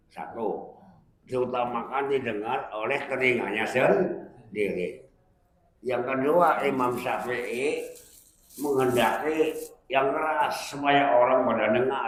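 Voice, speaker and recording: A medium-pitched man at a very slow pace with ordinary pitch variation and audible room echo. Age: 80s+. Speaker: Islamic preacher, retired teacher. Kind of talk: religious study talk with Q&A.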